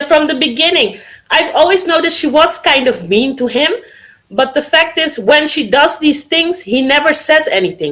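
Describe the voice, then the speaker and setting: A woman's high, bright, sharp voice with lively intonation at a moderate pace. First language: not English. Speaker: caller. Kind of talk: casual call-in discussion. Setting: voice call via Discord.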